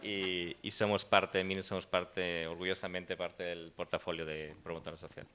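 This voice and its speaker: A man's very deep, low voice, bright and sharp in tone, flat and monotone, at a moderate pace with hardly any pauses. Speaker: startup cofounder. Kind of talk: panel discussion.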